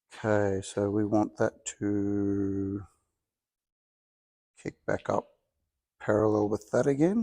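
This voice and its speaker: Mumbling with an Australian accent, a man with a fairly low pitch and a dark, mellow tone speaks at a very slow pace with fairly even intonation and long, frequent pauses. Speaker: home car restorer. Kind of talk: workshop tutorial.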